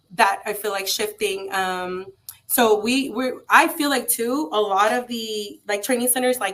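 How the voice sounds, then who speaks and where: A woman with a Spanish accent at a moderate pace. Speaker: trade school founder. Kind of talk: interview. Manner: halting, many fillers.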